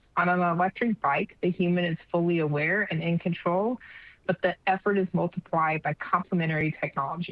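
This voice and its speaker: Over music in the background, a woman with a fairly low pitch speaks at a fairly quick pace and with fairly even intonation. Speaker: education technology leader, conference presenter. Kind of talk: conference presentation. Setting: online conference session with attendee chat. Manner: fast.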